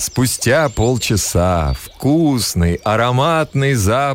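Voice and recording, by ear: The text is read aloud in a natural voice, its intonation lively.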